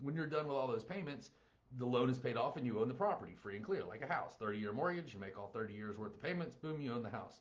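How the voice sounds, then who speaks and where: Speaking with a Southern US accent, a man uses lively intonation in a somewhat breathy voice. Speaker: real estate investing educator. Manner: casual explanatory.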